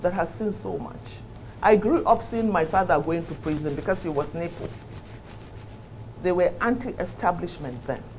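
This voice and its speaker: A woman talks at a moderate pace with very wide pitch swings and long, frequent pauses over noticeable background noise. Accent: northern Nigerian. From Nigeria, Kano. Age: 60s. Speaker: politician. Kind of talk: interview. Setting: studio. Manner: animated.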